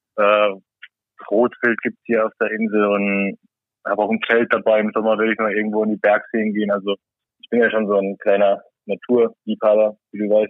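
Speaking in a Saarland accent, a man keeps a monotone, flat intonation at a fairly low pitch and a moderate pace. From Saarland, Germany. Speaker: salmon farm worker and angler. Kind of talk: casual chat. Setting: remote call from a cabin.

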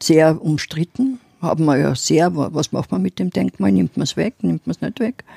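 Dry and close with no echo, a woman's very deep, low voice carries a dark, mellow tone and vocal fry, moving at a moderate pace through very wide pitch swings. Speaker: podcast co-host, city history storyteller. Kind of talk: casual chat.

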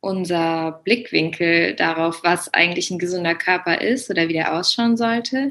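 Against a quiet background, a woman speaks very slowly in a medium pitch. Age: 20s. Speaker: German teacher and yoga teacher. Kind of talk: interview testimony.

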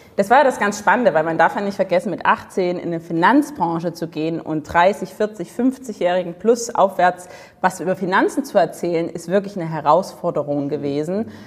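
At a moderate pace and with hardly any pauses, a woman speaks in a medium-pitched voice, her tone animated and her intonation lively. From Dresden, eastern Germany. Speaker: sales and charisma coach. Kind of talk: interview.

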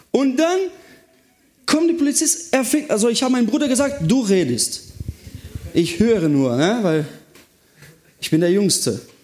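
A man speaks in an animated tone, high-pitched with very wide pitch swings. There is audible room echo along with noticeable background noise. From southern Brazil. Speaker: youth pastor. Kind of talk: sermon.

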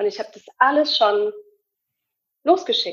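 High pitch from a woman, with pitch ranging very widely. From Hamburg, northern Germany. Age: 30s. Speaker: alternative medicine practitioner and coach. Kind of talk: interview testimony.

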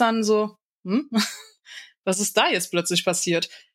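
The woman's voice sits at a fairly high pitch with ordinary pitch variation. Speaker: podcaster. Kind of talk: casual chat. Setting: online call.

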